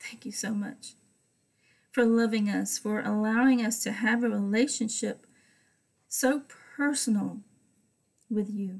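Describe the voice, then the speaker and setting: Against a quiet background, a woman with a somewhat breathy, fairly high voice speaks at a fairly slow pace with fairly even intonation and long, frequent pauses. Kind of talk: Bible study teaching with prayer. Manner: fervent; rambling. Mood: calm, devotional. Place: home room. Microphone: webcam.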